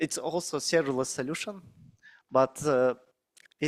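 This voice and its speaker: The recording is very clean, with a silent background and a dry, close sound with no echo. A man speaks at a fairly high pitch with fairly even intonation. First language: Russian or Kazakh. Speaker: cloud solutions architect, conference speaker. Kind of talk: conference talk. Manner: halting, many fillers.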